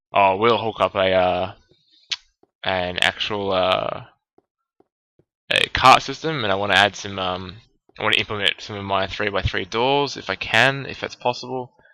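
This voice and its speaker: Mumbling at a moderate pace, a man with a fairly low pitch and a bright, sharp tone talks with ordinary pitch variation and long, frequent pauses. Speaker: gaming let's play creator. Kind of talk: gameplay commentary. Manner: halting, many fillers.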